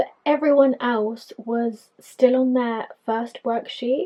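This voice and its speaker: A woman with an English accent speaks at a high pitch with fairly even intonation. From England, Filipino immigrant family. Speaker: podcaster. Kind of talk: personal storytelling monologue.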